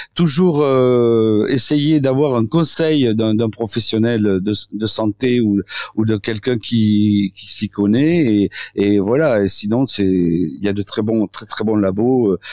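Against a quiet background, a man speaks at a very slow pace. His pitch is medium, with ordinary variation. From southwestern France. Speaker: doctor, osteopath. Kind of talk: radio interview. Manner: halting, many repetitions and fillers.

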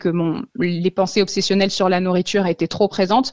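A woman speaks in a normal speaking voice at a fairly quick pace with fairly even intonation. The sound is dry and close, with no echo. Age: 30s. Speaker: author recovered from eating disorders. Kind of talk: radio interview, personal testimony.

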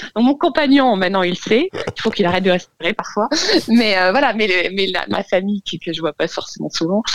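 At a fairly quick pace, a woman speaks with lively intonation and a medium pitch. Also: dry, close sound with no echo. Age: 30s. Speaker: caller. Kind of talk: personal testimony. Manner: hesitant.

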